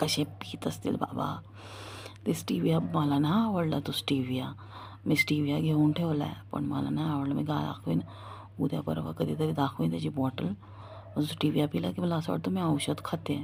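A quiet voice with vocal fry moves through very wide pitch swings. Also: woman, very deep, low pitch for a woman. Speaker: vlogger. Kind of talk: casual vlog monologue. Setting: at home at night. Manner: quieter at night.

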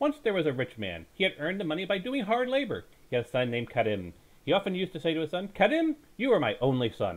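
Talking at a very fast pace, a man speaks with high pitch. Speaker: storyteller. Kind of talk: dramatic bedtime story reading. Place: home room. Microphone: headset.

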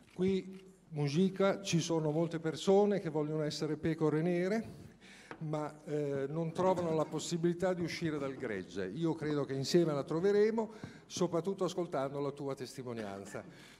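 This man's voice sits at a fairly high pitch, moving at a moderate pace with ordinary pitch variation. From Italy. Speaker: mayor. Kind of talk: welcome speech. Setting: stage with audience. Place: hall.

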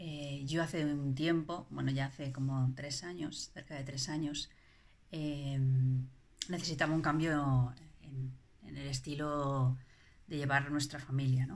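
The speech moves at a fairly slow pace with monotone, flat intonation. Long, frequent pauses break it up. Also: woman, very deep, low pitch for a woman. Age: 40s. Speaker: parent giving a testimonial. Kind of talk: testimony. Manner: halting, many fillers and repetitions. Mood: reflective, calm. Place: home room. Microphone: phone near.

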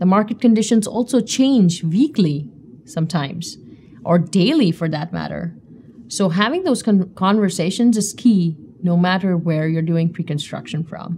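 A somewhat breathy woman with a dark, mellow tone talks at a moderate pace with lively intonation over light background noise. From India. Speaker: pre-construction manager. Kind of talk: presentation talk. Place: studio. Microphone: lapel.

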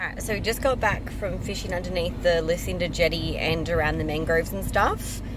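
Over noticeable background noise, a woman talks at a very fast pace with a dry sound and no echo. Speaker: travel vlogger. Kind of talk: casual vlog chat. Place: car. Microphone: phone near.

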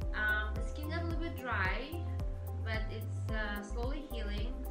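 Loud music plays in the background as a woman speaks at a fairly slow pace. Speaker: esthetician. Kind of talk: casual talk to camera about treatment plan. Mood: calm, gentle. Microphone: camera far.

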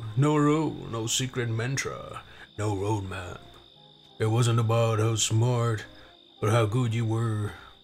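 The speaker uses a put-on character voice with a dramatic tone. The pace is moderate. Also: man. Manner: gritty, dramatic.

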